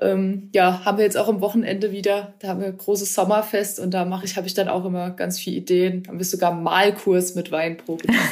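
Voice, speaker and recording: A woman's medium-pitched, monotone voice, very fast and with hardly any pauses, over noticeable background noise. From Baden, Ortenau (southwest Germany). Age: 20s. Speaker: winemaker, former wine queen. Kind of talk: interview.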